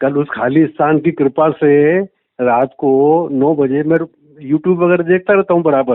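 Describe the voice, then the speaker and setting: At a fairly high pitch and a very even loudness, a man talks in an unremarkable speaking voice with ordinary pitch variation. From Rajasthan, India (Ajmer district). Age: 60s. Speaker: caller, businessman and spiritual seeker. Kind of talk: phone call testimony to spiritual teacher.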